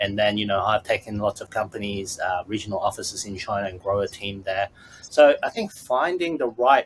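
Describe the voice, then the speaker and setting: A man with an Australian accent speaks at a moderate pace and a fairly low pitch, somewhat breathy, with ordinary pitch variation. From Australia, after early childhood in Hong Kong. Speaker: business consultant. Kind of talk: podcast interview. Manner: halting, with many fillers.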